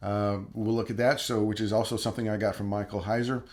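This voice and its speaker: Fairly low in pitch, a man speaks at a fairly quick pace in a monotone, flat way. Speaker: Bible teacher and YouTuber. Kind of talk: casual talk to camera. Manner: halting, many fillers.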